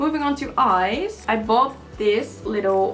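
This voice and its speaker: A Dutch accent with music in the background. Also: woman. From Netherlands. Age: 20s. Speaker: beauty vlogger. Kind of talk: tutorial. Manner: casual, chatty with fillers.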